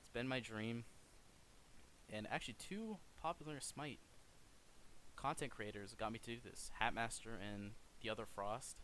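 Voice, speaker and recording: Quiet and bright, with a sharp tone, a man of medium pitch speaks with ordinary pitch variation, big swings in loudness and long, frequent pauses. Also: moderate pace. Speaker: gaming streamer. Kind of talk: video outro monologue. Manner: awkward pauses. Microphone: poor mic.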